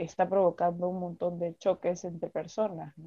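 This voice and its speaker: Against a quiet background, a woman with a medium-pitched, dark and mellow tone speaks at a fairly slow pace. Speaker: performing arts student and writer. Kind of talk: casual interview. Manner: halting, with many fillers and repetitions.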